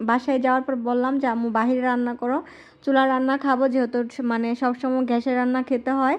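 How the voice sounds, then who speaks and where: A woman's high voice, monotone and flat in intonation, with very even loudness. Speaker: lifestyle vlogger. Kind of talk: vlog narration. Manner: casual, conversational.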